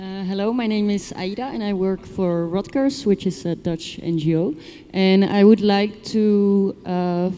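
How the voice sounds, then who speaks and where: An ordinary speaking voice from a woman, with ordinary pitch variation. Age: young. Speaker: NGO worker, conference attendee. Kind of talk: audience question at conference.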